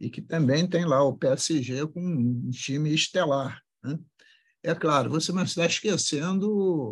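A man at a fairly high pitch, very slow pace and ordinary pitch variation, over a quiet background. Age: 70s. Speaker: politician. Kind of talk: interview.

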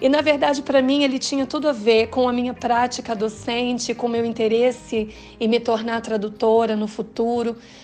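At a moderate pace and with hardly any pauses, a woman with an unremarkable speaking voice talks at a fairly high pitch over a quiet background. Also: fairly even intonation. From Paraná, Brazil (Londrina). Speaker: translator and university teacher. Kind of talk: interview.

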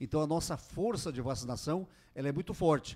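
An unremarkable speaking voice with lively intonation at a moderate pace. The recording is very clean, with a silent background. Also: man. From interior of Paraná, Brazil. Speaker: mayor. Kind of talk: radio interview. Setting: radio studio.

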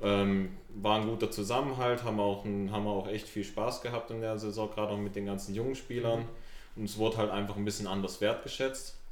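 Monotone and flat, a man talks at a fairly quick pace in a fairly low pitch. Noticeable background noise and audible room echo fill the recording. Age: 20s. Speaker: amateur footballer. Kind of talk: casual chat.

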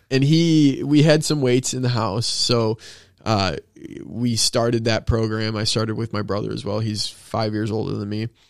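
A man's unremarkable speaking voice holds a medium pitch and ordinary pitch variation. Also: moderate pace. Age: 20s. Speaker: fitness coach. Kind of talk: casual chat.

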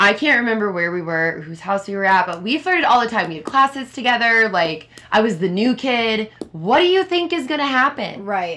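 Against noticeable background noise, a woman with a fairly high voice talks at a fairly quick pace with hardly any pauses, in an animated tone with very wide pitch swings. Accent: American. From Minnesota, Minneapolis area. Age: 20s. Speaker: podcast host. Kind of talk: casual chat. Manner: loud.

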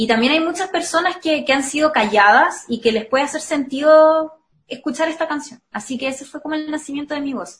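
With a Chilean accent, a woman speaks at a fairly quick pace and a high pitch with ordinary pitch variation. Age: 20s. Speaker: singer and psychology student. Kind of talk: casual interview.

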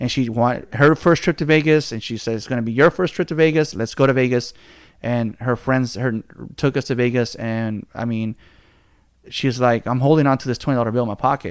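A man talks in a plain, everyday voice at medium pitch and a fairly quick pace, with ordinary pitch variation. The recording is very clean, with a silent background. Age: 30s. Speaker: podcast host. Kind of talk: casual chat.

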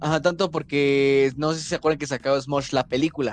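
With a Mexican accent, a man talks at a fairly quick pace in a dry, close sound with no echo. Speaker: podcast co-host, actor. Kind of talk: casual chat.

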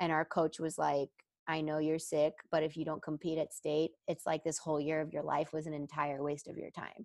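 In an American accent, a woman with a very deep, low pitch speaks at a moderate pace in a flat monotone, the sound dry and close with no echo. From Texas. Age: 30s. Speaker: former gymnast and coach. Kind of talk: interview.

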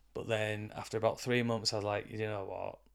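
With a Yorkshire accent, a man talks at a moderate pace. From northern England, York. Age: 40s. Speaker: boxing coach and counsellor. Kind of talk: casual interview chat.

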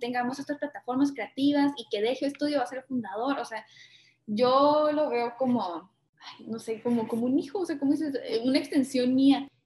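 A woman's high-pitched voice with a dark, mellow tone, ordinary pitch variation and a fairly quick pace. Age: 20s. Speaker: architect and entrepreneur. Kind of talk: casual interview.

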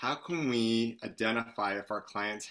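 At a very slow pace, a man with medium pitch speaks in a bright, sharp tone. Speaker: fitness educator and panel moderator. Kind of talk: webinar panel discussion. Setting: video call. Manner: animated.

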